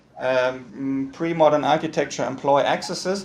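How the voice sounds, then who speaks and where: A man with a German accent speaks in a fairly high voice with lively intonation, against noticeable background noise and audible room echo. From northern Germany, Hamburg. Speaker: architect and university lecturer. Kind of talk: lecture. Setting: video call. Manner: fast; halting, many repetitions and fillers. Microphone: poor audio quality.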